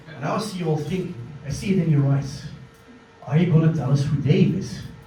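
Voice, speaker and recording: Very fast speech in a Flemish Belgian accent, with ordinary pitch variation, big swings in loudness, audible room echo and noticeable background noise. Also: man, fairly high pitch for a man. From Belgium. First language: Dutch. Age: 30s. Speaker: comedian. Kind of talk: stand-up. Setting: stage with audience.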